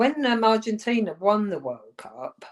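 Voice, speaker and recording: Her intonation lively, a woman speaks with an English accent. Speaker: former footballer. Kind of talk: interview.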